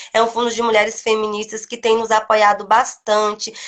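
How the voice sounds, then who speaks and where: Flat, monotone delivery from a woman whose voice sits on the high side. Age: young. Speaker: quilombola community leader. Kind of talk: interview. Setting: live video stream.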